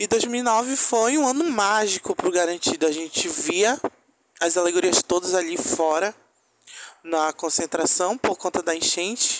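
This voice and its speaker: The voice moves fairly slowly with very even loudness and ordinary pitch variation, in a dry, close sound with no echo. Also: man, high pitch for a man. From Manaus, Amazonas, Brazil. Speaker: listener sending testimony. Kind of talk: recorded testimony.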